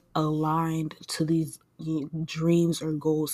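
The tone here is dark and mellow. It belongs to a woman with a fairly low pitch. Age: 20s. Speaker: podcast host. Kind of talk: personal monologue. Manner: casual, conversational.

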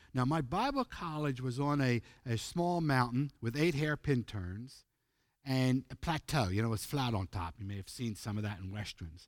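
A man speaks in an American accent at a moderate pace and medium pitch. His intonation is lively. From US East Coast, Pennsylvania. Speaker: youth ministry preacher. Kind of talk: sermon.

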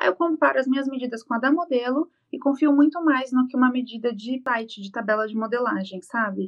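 A woman speaks at a high pitch with ordinary pitch variation. She goes at a fairly quick pace with hardly any pauses. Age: 20s. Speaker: fashion designer. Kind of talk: casual interview.

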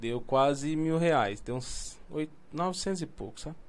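Very slow male speech at a high pitch, with ordinary pitch variation. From Brazil, São Paulo. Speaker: podcast host. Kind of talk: casual chat.

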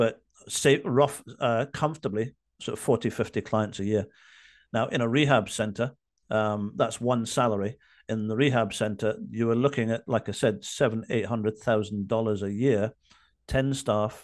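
A man with a medium-pitched voice speaks at a moderate pace. His intonation is fairly even, and the background is quiet. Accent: Scottish. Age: 50s. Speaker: addiction recovery coach. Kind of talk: interview. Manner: halting.

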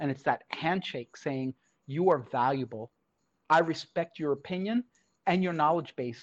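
Against a quiet background, a man with a New York accent speaks at a fairly high pitch with ordinary pitch variation. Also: moderate pace, dry, close sound with no echo. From Brooklyn, New York. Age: 50s. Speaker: esports education director. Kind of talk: interview.

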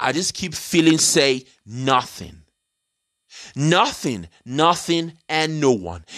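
Very slowly, a man with a London accent speaks at a fairly high pitch in a bright, sharp tone. The recording is very clean, with a silent background. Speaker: podcaster. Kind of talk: rambling monologue. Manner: halting, many fillers.

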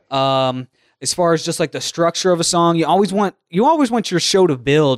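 A man's fairly high-pitched, unremarkable speaking voice at a moderate pace. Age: 30s. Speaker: podcast host and radio show producer. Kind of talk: casual chat.

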